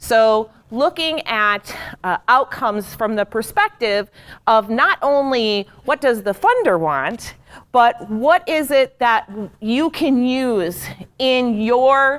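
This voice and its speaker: Loud and high-pitched, a woman speaks at a very slow pace with lively intonation in a dry, close sound with no echo. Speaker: program evaluation trainer. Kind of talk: training workshop talk. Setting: large room with audience. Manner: loud, projecting. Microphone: speaking without a handheld mic, wearing recording mic.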